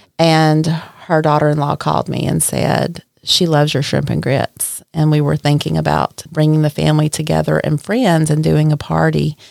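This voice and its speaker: The speaker has a strong Southern US accent and a moderate pace, with hardly any pauses and very even loudness. The sound is dry and close, with no echo. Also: woman. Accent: deep Southern US. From Mississippi, US South. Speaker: caterer and restaurant owner. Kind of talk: casual interview chat.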